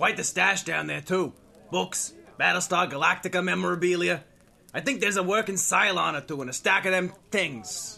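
Someone uses a gruff, put-on character voice with lively intonation at a moderate pace. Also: man, high pitch for a man. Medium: audio drama. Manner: gruff, ungrammatical.

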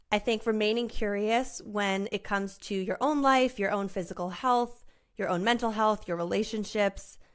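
A woman with an unremarkable speaking voice talks at a moderate pace and a fairly high pitch, keeping her intonation fairly even. The recording is very clean, with a silent background. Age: 30s. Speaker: podcast host. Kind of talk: solo monologue. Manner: casual.

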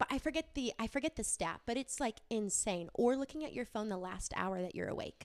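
A woman with a normal speaking voice and a fairly high pitch talks at a fairly quick pace with hardly any pauses. Her intonation is lively, and the sound is dry and close with no echo. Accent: American. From Wisconsin. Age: 30s. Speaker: entrepreneur and graphic designer. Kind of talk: casual chat. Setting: her home.

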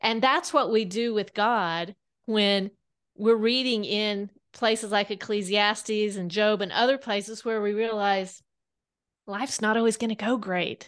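Against a quiet background, a woman with a normal speaking voice talks at a fairly slow pace, her fairly high pitch held in fairly even intonation. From Kansas. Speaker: author. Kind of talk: interview.

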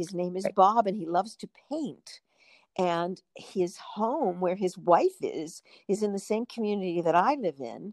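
In an unremarkable speaking voice, a woman talks at a medium pitch and a fairly slow pace, her intonation lively and the sound dry and close with no echo. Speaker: stage actress. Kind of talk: interview conversation. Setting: remote call. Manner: upbeat.

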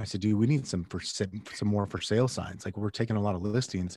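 Using a plain, everyday voice, a man talks at a fairly quick pace and fairly low pitch in a dry, close sound with no echo. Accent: American. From Phoenix, Arizona. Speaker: real estate agent and podcast host. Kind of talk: interview. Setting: remote call.

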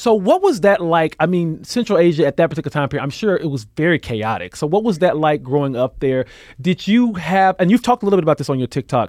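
Here a man talks at a very fast pace with hardly any pauses, his pitch high and his intonation lively. The sound is dry and close with no echo. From Alabama. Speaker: podcast host. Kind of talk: casual interview.

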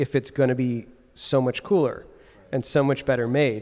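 The speaker is a man with a medium pitch. He goes at a moderate pace. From Chicago area, Evanston. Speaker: watch brand owner. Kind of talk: casual interview. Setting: converted factory building by train tracks.

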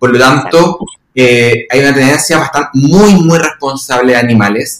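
A man speaks in a normal speaking voice at a fairly high pitch. His pace is fairly slow, with ordinary pitch variation. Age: 30s. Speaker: occupational therapist and university lecturer. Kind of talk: casual interview chat.

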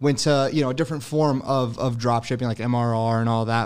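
A man with an American accent has a normal speaking voice. He talks at a fairly quick pace with fairly even intonation. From New Jersey. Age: 20s. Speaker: e-commerce entrepreneur. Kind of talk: casual chat.

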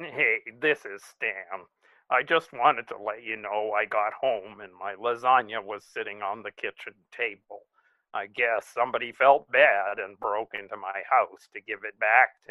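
A man's medium-pitched voice at a fairly slow pace, with ordinary pitch variation and big swings in loudness. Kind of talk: scripted comedy mystery segment, dramatic reenactment. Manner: melodramatic, paranoid, overwrought.

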